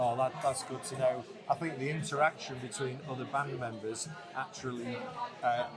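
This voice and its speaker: A man talks at a moderate pace in a Mancunian accent, his pitch medium. His intonation stays fairly even, with noticeable background noise behind him. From Greater Manchester, England. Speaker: interviewer and musician. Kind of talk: interview.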